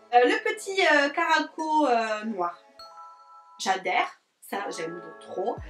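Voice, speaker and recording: A woman talks at a very slow pace with a high pitch, very wide pitch swings, and long, frequent pauses. Music plays in the background. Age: 20s. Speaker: beauty youtuber. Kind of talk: vlog review. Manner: hesitant with many fillers.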